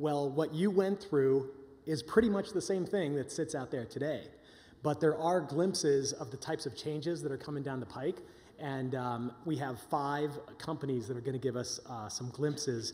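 Moving at a moderate pace, a man's speech shows ordinary pitch variation. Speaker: session host. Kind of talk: conference introduction talk. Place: hall. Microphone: podium.

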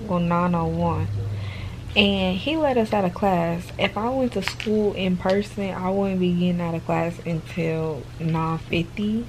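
The pace is very slow as a woman talks. Noticeable background noise is present. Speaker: vlogger. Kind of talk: casual vlog chat. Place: home room. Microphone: phone near.

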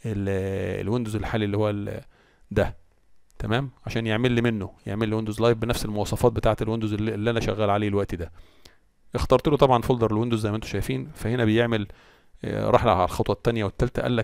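A man speaks with an Egyptian accent and a fairly low pitch. His pace is very fast. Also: fairly even intonation. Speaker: tech tutorial maker. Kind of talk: tutorial. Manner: casual.

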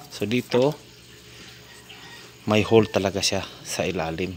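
Light background noise can be heard. A man speaks at a fairly slow pace in a fairly low voice. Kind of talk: casual vlog narration. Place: tunnel cave. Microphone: phone near.

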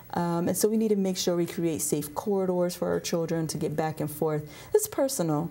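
Speaking at a fairly quick pace, a woman has fairly low pitch and ordinary pitch variation. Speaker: state legislator. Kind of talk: interview. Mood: earnest, serious. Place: studio. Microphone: lapel.

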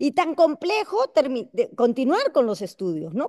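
A woman's voice with very wide pitch swings is recorded dry with no echo against a quiet background. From Peru. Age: 60s. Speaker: congresswoman; guest. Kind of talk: panel discussion. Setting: video call. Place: hall. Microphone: video call.

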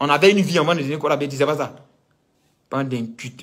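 Speech at a moderate pace with ordinary pitch variation over a quiet background. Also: man. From Ivory Coast. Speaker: political commentator. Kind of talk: political rant. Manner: animated. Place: home room. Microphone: phone near.

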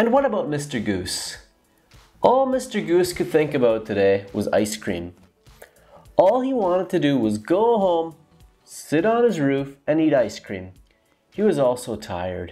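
With faint music in the background, a man speaks with long, frequent pauses. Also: fairly slow pace. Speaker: storyteller. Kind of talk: children's story narration. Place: home room.

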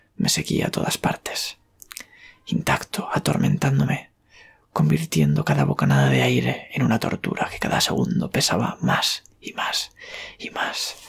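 The speaker is whispering. The pace is moderate. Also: man. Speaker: horror story author and ASMR creator; ASMR creator. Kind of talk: whispered horror story narration. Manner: whispered, soft. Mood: eerie, dramatic. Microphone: studio mic.

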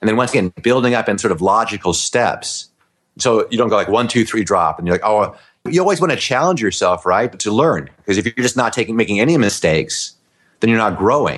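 With a normal speaking voice, a man talks at a medium pitch and a fairly quick pace, his loudness very even and his intonation lively, over a quiet background. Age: 50s. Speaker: comedy juggler. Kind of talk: interview.

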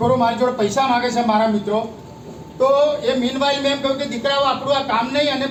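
The man's pitch is extremely high. Noticeable background noise and audible room echo fill the recording. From Gujarat, Anand district. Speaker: retired government officer speaking at a public meeting. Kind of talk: testimony.

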